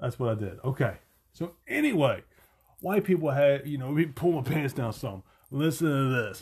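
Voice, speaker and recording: With an American accent, a man speaks at a moderate pace in a fairly high, somewhat breathy voice, his intonation lively and his tone animated. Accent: country twang. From Virginia, US. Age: 40s. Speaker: podcast host. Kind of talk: casual monologue.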